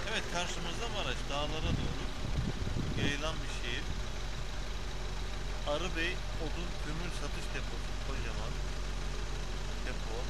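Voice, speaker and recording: A man at a fairly slow pace, with long, frequent pauses over loud background noise. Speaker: driver vlogger. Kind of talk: casual vlog chat. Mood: cheerful. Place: car. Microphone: phone near.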